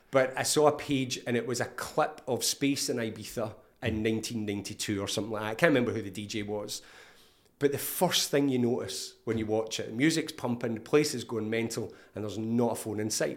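This man has a Scottish accent and a medium pitch. He talks at a fairly quick pace with ordinary pitch variation. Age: 50s. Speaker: therapist. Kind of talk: casual interview.

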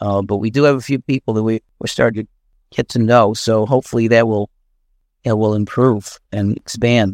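A man with a normal speaking voice talks at a moderate pace with fairly even intonation on a very clean recording with a silent background. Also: dry, close sound with no echo. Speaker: discussion participant, communist activist. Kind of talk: political discussion. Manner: casual, conversational.

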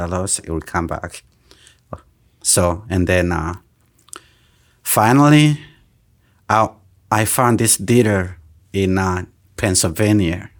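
Very deep, low pitch from a man at a fairly slow pace, with ordinary pitch variation. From Burundi, raised in Tanzania refugee camps. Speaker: truck driver and trucking company owner. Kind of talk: interview. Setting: studio.

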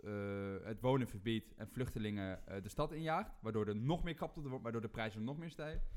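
With lively intonation and a fairly quick pace, a man talks in an unremarkable speaking voice. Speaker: rant-giving guest. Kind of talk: angry rant, mocking parody. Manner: fired up, sarcastic, loud; ranting, macho swagger.

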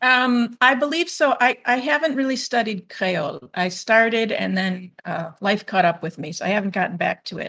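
In a very clean recording with a silent background, a woman with a Midwestern US accent speaks at a moderate pace. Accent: US Midwest. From Illinois, US (northwest Chicago suburbs). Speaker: French teacher and author. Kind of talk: interview.

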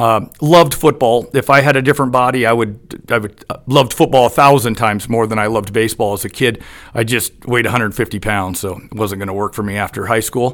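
A man with an American accent talks at a fairly quick pace, with hardly any pauses. He has an ordinary speaking voice, medium pitch and ordinary pitch variation. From US Pacific Northwest (Eugene, Oregon). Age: 50s. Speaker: former high school baseball head coach. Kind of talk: casual interview.

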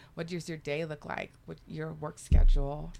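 A woman with vocal fry speaks at a moderate pace in a dark, mellow tone, her very deep, low pitch paired with fairly even intonation. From US South, deep south Texas near the Mexican border. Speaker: relocation specialist. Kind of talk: casual chat.

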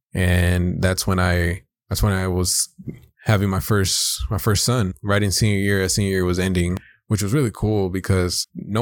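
A man talks with an American accent at a moderate pace. His pitch is very deep and low, with fairly even intonation. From South Los Angeles. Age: 20s. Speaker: podcast co-host, corrections officer. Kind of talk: casual chat.

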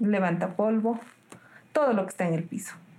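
Lively, fairly high-pitched speech from a woman. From Peru, Cerro de Pasco. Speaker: nurse. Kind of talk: interview.

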